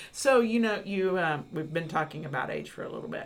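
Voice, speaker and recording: A plain, everyday voice: a woman, fairly low in pitch, at a fairly quick pace with lively intonation. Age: 50s. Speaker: podcast host, university educator. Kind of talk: interview.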